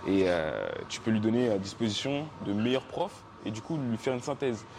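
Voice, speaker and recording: Lively intonation from a man at a fairly slow pace, with noticeable background noise. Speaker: podcast host. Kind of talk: casual chat.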